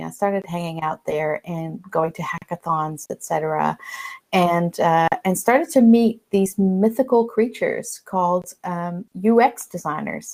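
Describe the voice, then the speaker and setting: A woman of medium pitch with a strong American accent. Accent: American-sounding, strong. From Netherlands. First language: Dutch. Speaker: learning designer, conference speaker. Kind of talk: conference presentation. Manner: many fillers and restarts.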